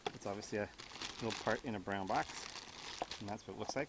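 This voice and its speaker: The sound is dry with no echo, and background noise is noticeable. The speech moves at a very fast pace. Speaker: home mechanic. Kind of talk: DIY repair tutorial. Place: car.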